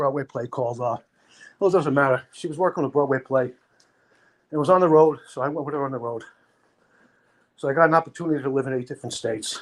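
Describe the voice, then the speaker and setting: Talking very fast with a Brooklyn accent, this speaker keeps a fairly even intonation but stops often for long pauses. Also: man. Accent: New York (Brooklyn). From Brooklyn, New York (Sheepshead Bay). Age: 60s. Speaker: livestream panelist. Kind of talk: casual chat.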